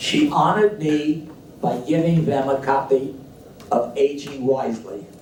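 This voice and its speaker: Over noticeable background noise, a man with a fairly high voice speaks at a fairly slow pace with ordinary pitch variation. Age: 90s. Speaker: book editor and author. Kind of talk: speech at book launch. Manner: halting.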